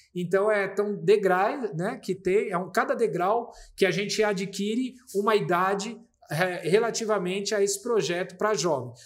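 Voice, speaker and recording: A man with a high voice talks fairly slowly, and his pitch varies in an ordinary way. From Brazil, São Paulo state (Vargem Grande Paulista). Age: 40s. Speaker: municipal culture secretary. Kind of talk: interview conversation.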